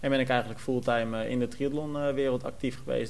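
With audible room echo, a man at a medium pitch speaks in a monotone, flat intonation. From Netherlands, Almere. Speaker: podcast host, sports journalist. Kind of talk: casual chat.

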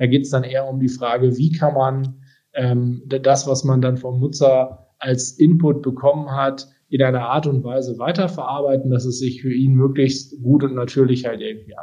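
A man talks at a moderate pace in a medium pitch. His tone is dark, mellow and somewhat breathy, with monotone, flat intonation. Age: 30s. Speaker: tech company executive. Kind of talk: interview. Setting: home office, remote call.

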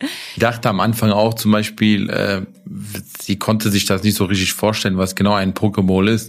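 A man's fairly low voice, monotone and flat in intonation, at a moderate pace. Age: 30s. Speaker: food franchise owner. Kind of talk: casual interview. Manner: hesitant, many fillers.

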